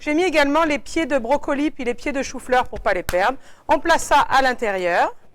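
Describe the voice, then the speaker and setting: The speaker is a woman with a high voice. Her intonation is lively. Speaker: product demonstrator. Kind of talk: cooking demonstration. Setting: shop. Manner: fast.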